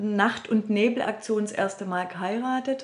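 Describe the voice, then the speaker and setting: The pace is fairly slow. Noticeable background noise sits under the speech. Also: woman. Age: 50s. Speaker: healing practice and seminar center owner. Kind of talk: interview. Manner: hesitant, many fillers.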